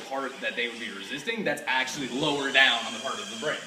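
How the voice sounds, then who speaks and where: The speech is very fast, with lively intonation. Background noise is noticeable, and room echo is audible. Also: man. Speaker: aspiring filmmaker pitching a story idea. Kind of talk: casual chat.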